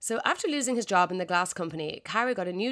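Her intonation is lively as this woman uses a normal speaking voice. She speaks at medium pitch. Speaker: podcast host. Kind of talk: true-crime narration. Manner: clear, steady storytelling delivery.

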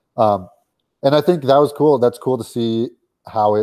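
A plain, everyday voice with an American accent at a fairly quick pace. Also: man. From US West Coast (Southern California). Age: 20s. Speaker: DJ and music producer. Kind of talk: casual interview.

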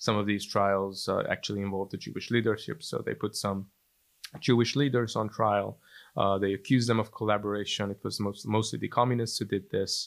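A man with a Hungarian accent speaks fairly quickly at a fairly low pitch with fairly even intonation, on a very clean recording with a silent background. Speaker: historian and journalist. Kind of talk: interview. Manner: halting.

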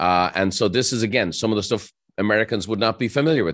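A man with an Irish accent at a very fast pace, against a quiet background. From Ireland. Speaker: entrepreneur and author. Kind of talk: interview conversation.

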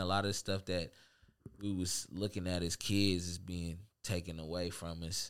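A man's very deep, low voice in a monotone, flat intonation, on a very clean recording with a silent background. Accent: American. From Seattle, Central District. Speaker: rapper. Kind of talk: casual chat.

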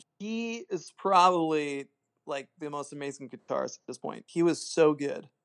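The voice moves at a moderate pace with ordinary pitch variation and big swings in loudness, the sound dry and close with no echo. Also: man, fairly high pitch for a man. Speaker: lead guitarist. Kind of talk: casual chat. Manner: laid-back.

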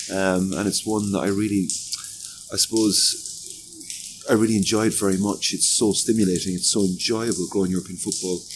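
There is noticeable background noise as a man talks at a moderate pace. His fairly low pitch stays monotone and flat. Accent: Limerick. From Ireland, Limerick. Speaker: football association executive. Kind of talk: interview.

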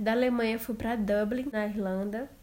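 A plain, everyday voice from a woman, fairly high in pitch, with fairly even intonation at a moderate pace, on a very clean recording with a silent background. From Brazil, interior of Amazonas. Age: 20s. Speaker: podcaster, au pair. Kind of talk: casual personal storytelling monologue.

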